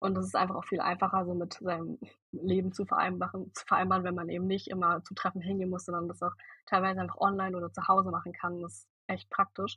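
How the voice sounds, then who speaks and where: With big swings in loudness, a woman speaks very fast. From Germany, Berlin. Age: young. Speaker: volunteer at environmental nonprofit. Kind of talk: podcast interview.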